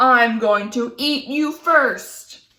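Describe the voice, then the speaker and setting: A woman growls in a high-pitched, put-on character voice. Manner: growling, menacing.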